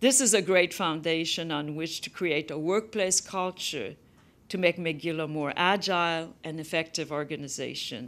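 A woman with a French Canadian accent, fairly low in pitch, at a moderate pace with ordinary pitch variation. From Quebec. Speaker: university principal. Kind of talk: formal address then audience Q&A. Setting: stage with audience, webcast. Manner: formal. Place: hall. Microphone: podium.

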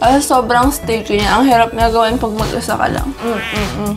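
Over clear background music, a woman talks at a fairly quick pace with ordinary pitch variation. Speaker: food vlogger. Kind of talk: casual vlog chat. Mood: playful, cheerful. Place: home room. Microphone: phone near.

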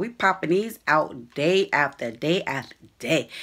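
A woman talks at a fairly slow pace, her pitch swinging very widely. Her tone is bright and sharp against a quiet background. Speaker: vlogger. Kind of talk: casual vlog chat. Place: home room. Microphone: phone near.

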